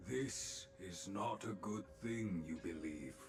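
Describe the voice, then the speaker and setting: Over clear background noise, a man does a put-on character voice with a very deep, low pitch at a very slow pace. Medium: video game. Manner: inverted word order, measured.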